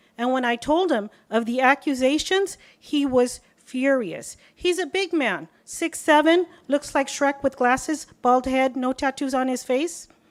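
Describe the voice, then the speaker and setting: Animated in tone, a woman with an American accent speaks at a high pitch and fairly slow pace with ordinary pitch variation and hardly any pauses, on a very clean recording with a silent background. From Southern California. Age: 50s. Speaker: public commenter. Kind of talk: public comment.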